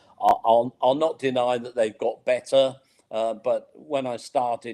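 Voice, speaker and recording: Speaking with a British accent, a man has a dark, mellow tone and ordinary pitch variation. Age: 60s. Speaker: accessibility consultant. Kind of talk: interview. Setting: online live webinar.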